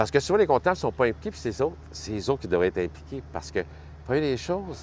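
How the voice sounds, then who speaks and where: Speaking very fast, a man with a Quebec accent has a fairly low pitch and somewhat breathy delivery. His pitch swings very widely. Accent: Québécois French. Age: 60s. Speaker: health and safety committee member at a trucking company. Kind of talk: casual interview.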